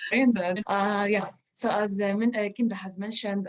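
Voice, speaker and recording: A woman talks at a fairly quick pace with a medium pitch. Noticeable background noise runs underneath. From Israel. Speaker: teacher-researcher presenting at a conference. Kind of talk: conference Q&A reflection. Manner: halting, many fillers.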